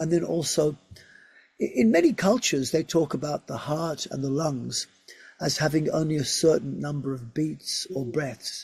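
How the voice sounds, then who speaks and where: A man with a normal speaking voice keeps a moderate pace, his pitch fairly high and its variation ordinary. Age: 60s. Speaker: physiotherapist and research scientist. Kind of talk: interview.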